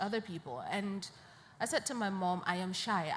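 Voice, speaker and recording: Audible room echo surrounds a woman speaking at a medium pitch in a somewhat breathy voice. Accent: northern Nigerian. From Nigeria, Borno State. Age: 20s. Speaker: poet and peace advocate. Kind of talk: panel interview. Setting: live media session at an international conference.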